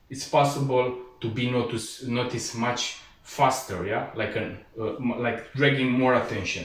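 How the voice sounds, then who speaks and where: A man with a non-native accent talks at a moderate pace and medium pitch, his intonation fairly even. Noticeable background noise and audible room echo surround him. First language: not English. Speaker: martial arts instructor. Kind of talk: tutorial. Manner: halting, frequent fillers.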